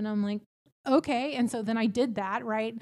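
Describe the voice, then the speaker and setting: A woman's normal speaking voice with an American accent, fairly high in pitch with ordinary variation, at a fairly quick pace, in a very clean recording with a silent background. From Texas, small town near Houston. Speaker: real estate team leader and recruiter. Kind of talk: casual chat. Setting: office.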